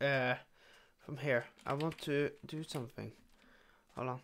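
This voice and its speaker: A man talks at a fairly slow pace over light background noise. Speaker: gaming youtuber. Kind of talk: casual gameplay commentary, let's play. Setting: solo recording over gameplay. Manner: halting, many fillers.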